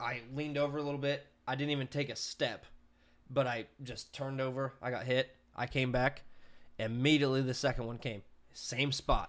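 On a very clean recording with a silent background, a man of medium pitch talks at a moderate pace with monotone, flat intonation. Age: 20s. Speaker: podcast host and YouTuber. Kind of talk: casual chat. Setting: home.

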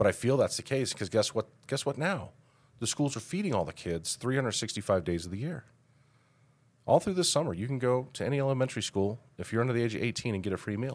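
A man talks very fast at a medium pitch with an American accent and very wide pitch swings. The recording is very clean with a silent background. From Colorado, Denver area. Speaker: mayor. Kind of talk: casual interview.

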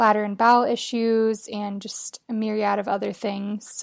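In a very clean recording with a silent background, a woman at a fairly high pitch speaks at a moderate pace in a plain, everyday voice. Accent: American. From Colorado. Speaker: stay-at-home mom and caregiver. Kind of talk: interview storytelling.

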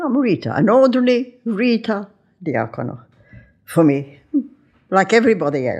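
Against a quiet background, a woman with vocal fry and a fairly high pitch speaks at a moderate pace, her pitch swinging very widely between long, frequent pauses. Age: 90s. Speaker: retired TV cook and philanthropist. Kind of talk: interview.

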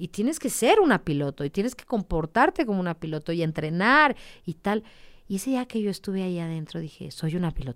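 A woman with a medium pitch talks at a fairly quick pace, her voice making very wide pitch swings. The sound is dry and close with no echo, in a very clean recording with a silent background. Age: 30s. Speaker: motorcycle racer. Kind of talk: interview.

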